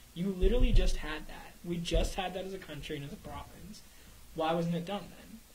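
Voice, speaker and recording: Against light background noise, a man with a high voice talks at a fairly quick pace, with big swings in loudness. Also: ordinary pitch variation. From Canada. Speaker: radio show co-host. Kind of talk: casual chat. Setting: studio. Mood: concerned, earnest. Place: studio. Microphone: studio mic.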